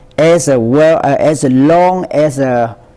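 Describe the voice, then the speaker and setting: Against noticeable background noise, a man speaks very slowly in a Vietnamese accent. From central Vietnam, Quang Tri. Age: 70s. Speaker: war veteran. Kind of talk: oral history interview. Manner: halting, many fillers.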